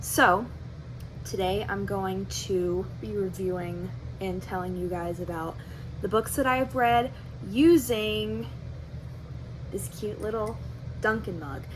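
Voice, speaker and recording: Speaking at a very slow pace with long, frequent pauses, a woman is heard amid audible room echo. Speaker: book vlogger. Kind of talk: casual book review vlog. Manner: soft-spoken.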